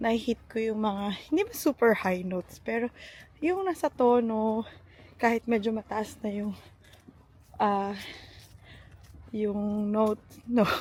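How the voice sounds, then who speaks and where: A woman with a fairly high pitch speaks at a very slow pace, somewhat breathy, with ordinary pitch variation and long, frequent pauses. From Philippines. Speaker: vlogger and teacher. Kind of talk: casual vlog. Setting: outdoors.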